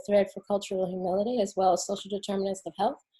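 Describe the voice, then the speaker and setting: Talking at a very fast pace with an American accent, a woman speaks in a dark, mellow, somewhat breathy tone at medium pitch, her intonation monotone and flat. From New Jersey, near Newark. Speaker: physician, medical school dean. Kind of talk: panel self-introduction.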